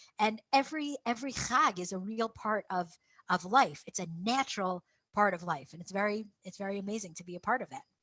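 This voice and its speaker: A woman at a medium pitch with an American accent, fairly quick in pace and with big swings in loudness. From USA. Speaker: town council head. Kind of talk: interview. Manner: repetitive, halting.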